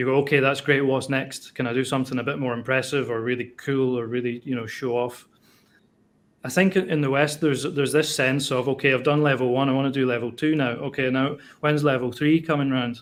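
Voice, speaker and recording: The recording is very clean with a silent background. A man speaks at a medium pitch and fairly quick pace with fairly even intonation. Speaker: optical engineer and taiko drummer. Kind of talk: interview answer. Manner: soft-spoken.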